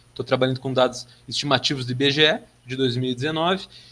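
Speaking with a normal speaking voice, a man holds a medium pitch and moderate pace, his pitch varying in an ordinary way. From southern Brazil, Passo Fundo (Rio Grande do Sul). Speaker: geography master's student. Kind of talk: podcast interview. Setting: remote recording.

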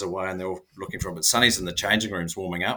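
A man with a New Zealand accent, very deep and low in pitch, in a bright, sharp tone. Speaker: former professional rugby player. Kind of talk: casual interview chat.

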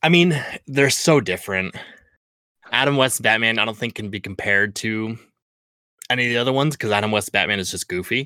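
A man talks at a very fast pace in a bright, sharp tone, broken by long, frequent pauses. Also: medium pitch for a man, ordinary pitch variation. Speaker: podcast co-host. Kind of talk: casual chat.

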